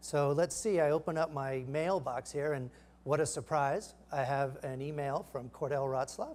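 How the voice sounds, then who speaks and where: This man has a fairly high pitch and fairly even intonation. He speaks at a moderate pace. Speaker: startup founder giving a product demo; presenter. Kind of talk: live product demo. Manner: halting, many fillers. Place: stage.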